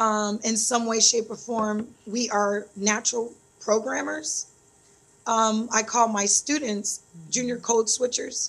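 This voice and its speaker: Somewhat breathy, a woman with an American accent speaks at a very slow pace in a fairly high pitch with monotone, flat intonation. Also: very clean recording, silent background. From US Midwest, Detroit and Phoenix. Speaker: computer science teacher. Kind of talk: interview.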